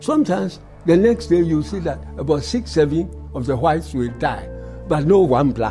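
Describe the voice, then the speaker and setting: Background music accompanies talking that keeps a moderate speed. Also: man. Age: 80s+. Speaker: World War II veteran. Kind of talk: interview answer.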